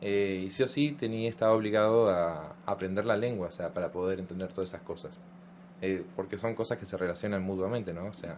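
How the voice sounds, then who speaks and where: In a plain, everyday voice, a man speaks at a fairly quick pace and a fairly low pitch. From Argentina, Chubut (Trelew). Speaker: language workshop educator. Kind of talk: radio interview.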